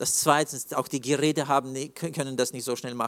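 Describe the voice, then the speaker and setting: A man speaks in a monotone, flat delivery on a very clean recording with a silent background. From Russia, Russian-German community (Siberia). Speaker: preacher sharing near-death testimony. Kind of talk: testimony.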